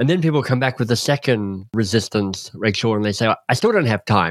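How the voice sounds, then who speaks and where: A man with a normal speaking voice, medium pitch and lively intonation at a moderate pace, in a very clean recording with a silent background and a dry, close sound with no echo. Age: 50s. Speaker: leadership and coaching author. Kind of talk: interview.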